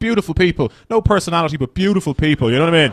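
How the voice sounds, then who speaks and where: Using an Irish accent, a man talks at a very fast pace with a fairly high pitch and very wide pitch swings. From Ireland. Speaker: stand-up comedian. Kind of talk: stand-up. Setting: stage with audience.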